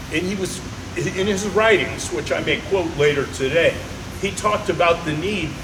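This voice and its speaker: A man with a high-pitched voice talks over noticeable background noise, and the room echo is audible. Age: 70s. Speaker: judo instructor. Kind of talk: casual chat.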